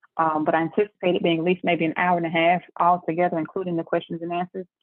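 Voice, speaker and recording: With a Southern US accent, a woman speaks at a very fast pace. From Memphis, Tennessee (US South). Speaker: tax business owner. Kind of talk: webinar presentation. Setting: video call.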